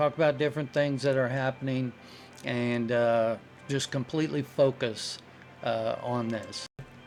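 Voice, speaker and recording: A man talks at a fairly slow pace. Noticeable background noise is present. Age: 60s. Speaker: retired truck driver and channel host. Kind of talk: casual talk to camera. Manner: hesitant, many fillers. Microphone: very cheap microphone.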